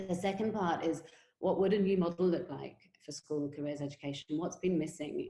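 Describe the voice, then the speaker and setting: The voice belongs to a woman with a dark, mellow tone. Her intonation stays fairly even. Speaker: education company CEO and webinar host. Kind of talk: webinar presentation. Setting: online webinar. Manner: fast.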